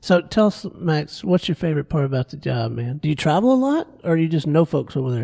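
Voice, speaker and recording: With hardly any pauses, a man with an American accent speaks in a dark, mellow tone and lively intonation, the sound dry and close with no echo. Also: fairly high pitch for a man. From Florida Panhandle. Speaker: radio host. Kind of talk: radio interview. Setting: radio studio.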